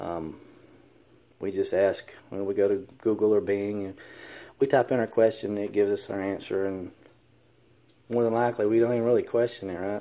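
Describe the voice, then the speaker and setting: With a dark, mellow tone and fairly low pitch, a man speaks with an American accent at a fairly quick pace, taking long, frequent pauses, in a very clean recording with a silent background. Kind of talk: casual commentary. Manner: hesitant, many fillers.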